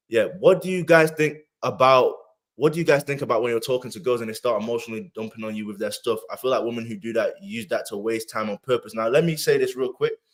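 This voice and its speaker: At a very fast pace, a man talks with a British accent. His loudness swings widely. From UK. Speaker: podcast host. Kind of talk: casual chat. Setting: live stream.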